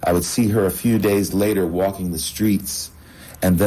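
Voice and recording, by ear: Someone reads the text aloud in a natural voice, keeping the intonation fairly even.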